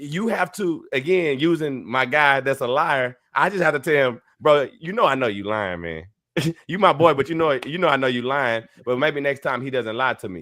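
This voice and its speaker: Loud and bright with a sharp tone, a man speaks at a fairly high pitch with lively intonation, in a very clean recording against a silent background. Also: moderate pace. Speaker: podcast co-host. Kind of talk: casual chat.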